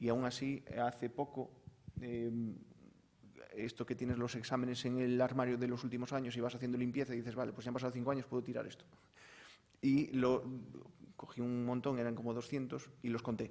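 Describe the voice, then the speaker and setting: Pausing long and often yet speaking at a fairly quick pace, a man with a Galician accent has a dark, mellow tone and monotone, flat intonation. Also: medium pitch for a man. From Galicia, Spain. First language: Galician (speaking Spanish). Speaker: university professor. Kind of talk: panel discussion. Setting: conference panel.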